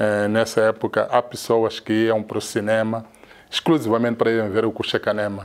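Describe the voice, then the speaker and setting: Here a man speaks with monotone, flat intonation. His pace is fairly quick. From Mozambique, Maputo; Mozambique. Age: 50s. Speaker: cinema camera assistant. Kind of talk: interview. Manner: halting. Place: office. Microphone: lapel.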